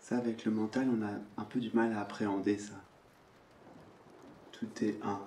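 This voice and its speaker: A man speaks in a calm tone at a fairly slow pace, monotone and flat, with long, frequent pauses. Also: fairly low pitch for a man. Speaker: spiritual teacher. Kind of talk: spiritual satsang talk, non-dual teaching. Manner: calm, contemplative, slow, with pauses.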